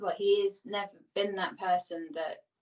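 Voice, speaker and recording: In a Birmingham accent, a woman talks at a fairly slow pace. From Birmingham, England. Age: 30s. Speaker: person in addiction recovery. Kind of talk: casual interview. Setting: video call.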